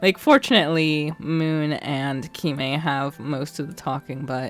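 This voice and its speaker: The delivery is fairly slow. Music plays in the background. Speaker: let's play streamer. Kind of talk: casual chat.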